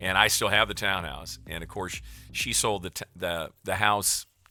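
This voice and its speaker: Music plays in the background as a man with an American accent speaks at a fairly low pitch. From US Midwest. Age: 60s. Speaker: game streamer. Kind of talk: casual chat. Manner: rambling with frequent restarts.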